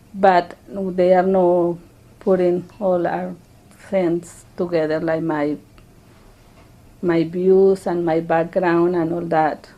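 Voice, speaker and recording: With a Spanish accent, a woman speaks at a very slow pace with long, frequent pauses, a fairly low pitch, monotone, flat intonation and a dark, mellow tone. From Colombia. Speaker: immigrant interviewee. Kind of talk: interview testimony. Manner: halting.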